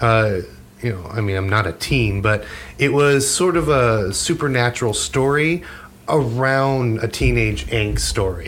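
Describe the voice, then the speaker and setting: In a plain, everyday voice, a man talks at medium pitch and a fairly slow pace with lively intonation. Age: 40s. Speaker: podcast co-host. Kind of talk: casual chat.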